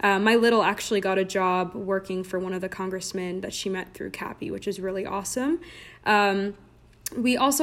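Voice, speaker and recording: A woman's unremarkable speaking voice with an American accent, medium pitch and a fairly quick pace. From Southern California, Orange County. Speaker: recent graduate, fraternity member. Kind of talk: casual interview. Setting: remote recording.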